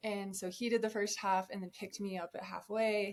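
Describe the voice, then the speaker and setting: With an American accent, a woman speaks in an unremarkable speaking voice at medium pitch and a moderate pace. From Colorado. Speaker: ultrarunner. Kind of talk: podcast interview. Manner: casual, conversational.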